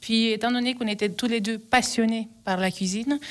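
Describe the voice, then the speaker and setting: Speaking in an Italian accent, a woman with a fairly high pitch talks at a fairly quick pace with fairly even intonation on a very clean recording with a silent background. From Calabria, southern Italy. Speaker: restaurant owner. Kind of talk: radio interview. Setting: radio studio. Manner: hesitant.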